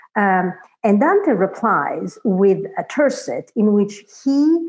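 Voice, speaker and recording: In a Florentine accent, a woman talks at a very slow pace. Her medium pitch moves in very wide swings. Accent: Florentine Italian. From Italy, Florence. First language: Italian. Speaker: literature scholar. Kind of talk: academic conversation. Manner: hesitant, many fillers.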